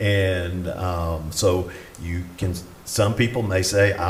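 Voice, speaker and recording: In a Southern US accent, a man speaks in a very deep, low, monotone voice, with audible room echo and noticeable background noise. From US South (Atlanta, Georgia). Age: 60s. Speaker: retired pastor. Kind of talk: conference talk.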